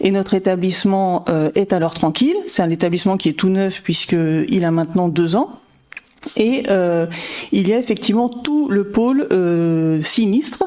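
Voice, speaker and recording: With noticeable background noise, a woman speaks at a fairly slow pace, her intonation lively and her loudness very even. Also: medium pitch for a woman. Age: 40s. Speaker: insurance manager. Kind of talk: interview.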